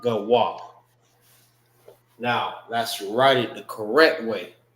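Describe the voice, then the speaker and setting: Audible room echo surrounds a man speaking at a very slow pace, medium in pitch, with fairly even intonation. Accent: American. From Florida, Tampa. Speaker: religious group teacher. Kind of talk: language class. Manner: casual, repetitive with fillers.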